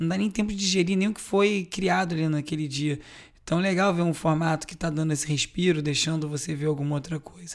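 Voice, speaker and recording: Talking very fast, a man keeps a high pitch and fairly even intonation. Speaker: podcast host. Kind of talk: news roundup monologue.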